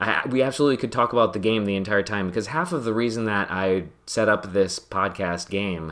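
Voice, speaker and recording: The speaker uses a normal speaking voice with ordinary pitch variation. The delivery runs at a fairly quick pace with hardly any pauses. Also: man, fairly low pitch for a man. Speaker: podcast host and gamer. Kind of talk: casual chat while gaming. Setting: live stream.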